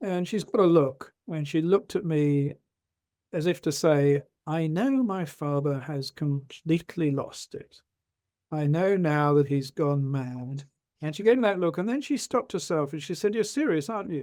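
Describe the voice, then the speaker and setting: In an English accent, a man with a fairly high pitch and a dark, mellow tone speaks at a moderate pace with lively intonation. The recording is very clean, with a silent background. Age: 70s. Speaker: retired doctor and rheumatologist. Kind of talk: interview storytelling.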